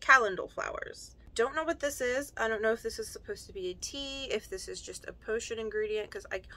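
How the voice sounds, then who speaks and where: Projecting a raised voice, a woman speaks very fast with very wide pitch swings. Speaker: unboxing vlogger. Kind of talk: casual vlog chat. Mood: cheerful, laughing at times. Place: home room.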